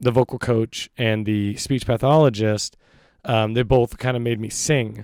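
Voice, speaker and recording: A man's medium-pitched voice on a very clean recording with a silent background and a dry, close sound with no echo. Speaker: podcast guest. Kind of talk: casual chat. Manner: halting.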